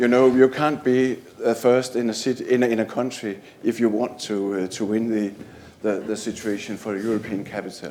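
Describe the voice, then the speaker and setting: Speaking at a fairly slow pace, a man uses a medium pitch and fairly even intonation, his tone dark and mellow. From Denmark. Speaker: library manager. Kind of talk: conference presentation. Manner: halting, many fillers.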